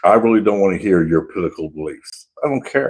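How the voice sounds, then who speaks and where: A man talks at a moderate pace. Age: 60s. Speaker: homesteader live streamer. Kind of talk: casual chat. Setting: live stream.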